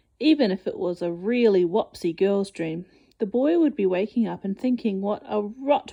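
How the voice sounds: A natural reading voice moves through the text with lively intonation.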